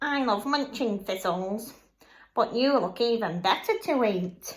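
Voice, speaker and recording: A woman's put-on character voice, fairly high in pitch and fairly slow, on a very clean recording with a silent background. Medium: read story. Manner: bleating.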